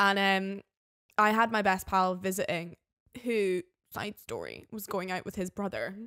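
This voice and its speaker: A woman's medium-pitched voice in a Scottish Highland accent, moderate in pace, monotone and flat, with long, frequent pauses, on a very clean recording with a silent background. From Scottish Highlands. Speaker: flatmate of the host. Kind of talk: casual chat.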